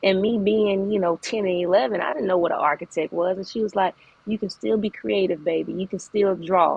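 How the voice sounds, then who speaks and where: A woman talks at a fairly quick pace with a medium pitch. Her pitch varies in an ordinary way. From Arkansas (Little Rock). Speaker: architect and entrepreneur. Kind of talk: podcast interview. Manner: casual, hesitant with fillers.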